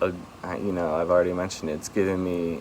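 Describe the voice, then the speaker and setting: A man's very deep, low voice amid noticeable background noise. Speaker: vlogger. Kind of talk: personal vlog monologue. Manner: slow, halting; stumbling.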